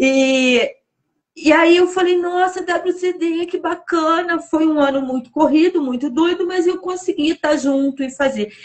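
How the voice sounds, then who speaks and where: A woman with an extremely high pitch speaks at a fairly slow pace, her pitch varying in an ordinary way. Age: 60s. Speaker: live show host. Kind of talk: casual interview chat. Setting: Instagram live stream.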